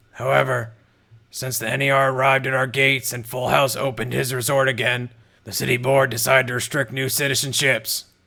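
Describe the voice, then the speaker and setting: A raspy, put-on character voice moves at a fairly quick pace. The intonation stays monotone and flat. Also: man, medium pitch for a man. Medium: read story. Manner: gruff, blunt.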